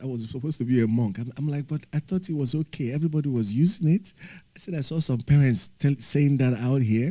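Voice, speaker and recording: Somewhat breathy, a man with a dark, mellow tone and medium pitch speaks at a very fast pace. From Nigeria. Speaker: livestreamer, former teacher. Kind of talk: casual livestream chat.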